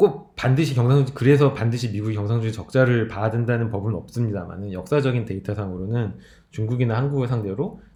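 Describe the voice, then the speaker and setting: A man's medium-pitched voice, dark and mellow, somewhat breathy, at a very fast pace with ordinary pitch variation and audible room echo. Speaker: lecturer. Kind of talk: recorded lecture.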